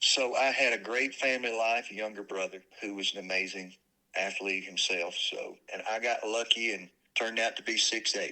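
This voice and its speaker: Speaking in a Southern US accent at a moderate pace, a man uses a medium pitch, ordinary pitch variation, and a bright, sharp tone. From US South, north Alabama (Decatur). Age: 60s. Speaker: former minister, house flipper. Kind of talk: casual interview conversation.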